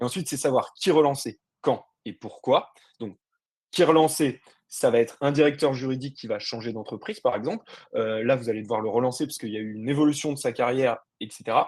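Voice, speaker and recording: The speech runs at a very fast pace with ordinary pitch variation and big swings in loudness. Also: man, medium pitch for a man. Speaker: sales and marketing director. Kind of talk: webinar presentation. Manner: energetic, animated.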